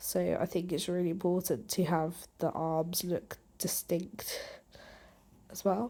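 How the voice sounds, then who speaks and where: A woman speaks at a fairly slow pace with long, frequent pauses. Her voice has a fairly low pitch, a dark, mellow tone, and fairly even intonation. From UK. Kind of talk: art process voiceover. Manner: relaxed, light-hearted.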